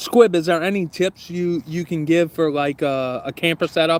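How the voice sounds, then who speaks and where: The recording is dry and close with no echo as a man with a Southern US accent talks at a fairly high pitch. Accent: Southern US accent, country-sounding. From US South, southern Louisiana. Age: 30s. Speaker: YouTuber, camping channel host. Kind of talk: casual livestream chat. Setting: outdoors, backyard by fire pit.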